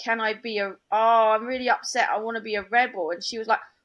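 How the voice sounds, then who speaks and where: Speaking at a moderate pace, a woman with a London accent has a fairly high voice. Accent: London accent, noticeable. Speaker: comedian. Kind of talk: casual chat.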